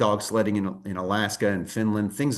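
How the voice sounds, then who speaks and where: A man speaks with a fairly low pitch at a fairly quick pace. The background is quiet. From United States. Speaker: tour company presenter. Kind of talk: sales presentation.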